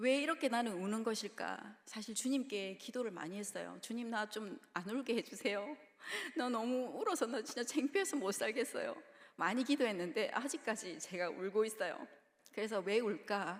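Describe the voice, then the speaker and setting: A woman with a Gyeongsang accent, fairly high-pitched, lively in intonation, at a moderate pace. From Busan, South Korea. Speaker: preacher (children's ministry evangelist). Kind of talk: sermon. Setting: church.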